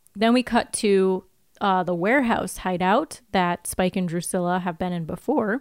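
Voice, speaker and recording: A woman's fairly slow speech with lively intonation, dry and close with no echo. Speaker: podcast co-host. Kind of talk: casual chat. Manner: squealy.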